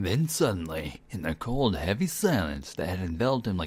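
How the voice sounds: What you hear is a natural reading voice.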